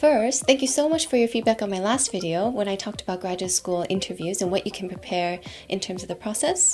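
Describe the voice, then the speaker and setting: Over music in the background, a woman talks at a very fast pace with hardly any pauses, her medium-pitched voice full of lively intonation. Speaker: university professor. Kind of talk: educational talk to camera. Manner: friendly, encouraging.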